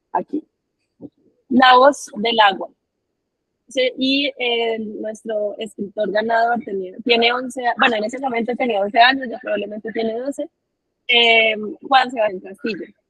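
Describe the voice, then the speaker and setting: Pausing long and often, a woman with a fairly high pitch talks at a fairly slow pace with fairly even intonation. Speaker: writing workshop facilitator. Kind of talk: online workshop.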